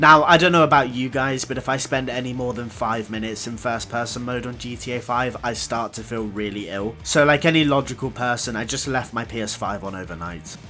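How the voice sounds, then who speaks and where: Over music in the background, a man with a medium pitch and lively intonation speaks at a fairly quick pace. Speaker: gaming youtuber. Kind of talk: gameplay commentary narration.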